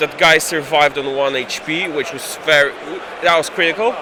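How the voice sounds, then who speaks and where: A fairly high-pitched man with a slight Polish accent, over noticeable background noise. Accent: slight Polish accent, almost native English. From Poland. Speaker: tabletop game player. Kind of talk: post-game interview. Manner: halting, repeats words.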